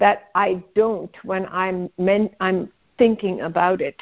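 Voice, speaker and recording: Fairly even intonation from an unremarkable speaking voice. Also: woman. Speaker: spiritual mentor on call-in show. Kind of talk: call-in guidance conversation. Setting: phone call.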